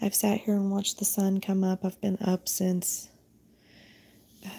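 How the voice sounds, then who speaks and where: With an American accent, a woman speaks at a medium pitch and moderate pace in a somewhat breathy, dark, mellow tone. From US South. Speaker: spiritual channeler and tarot reader. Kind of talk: casual spiritual vlog monologue. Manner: rambling, many fillers.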